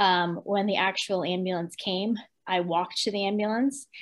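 This woman's voice sits at a medium pitch. Her pitch varies in an ordinary way. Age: 40s. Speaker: beauty industry executive and makeup artist. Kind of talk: interview, personal testimony. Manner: halting.

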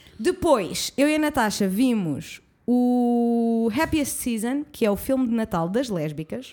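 Very slowly, a woman speaks with a fairly high pitch. Her intonation is lively. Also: very clean recording, silent background. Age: 20s. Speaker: podcast co-host. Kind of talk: casual chat. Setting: studio.

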